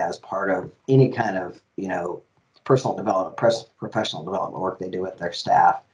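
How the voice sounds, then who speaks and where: With a dark, mellow tone and ordinary pitch variation, a man speaks at a fairly quick pace. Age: 50s. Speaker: diversity officer and gender inclusivity educator; gender inclusivity educator. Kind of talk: interview; interview answer. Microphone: headset.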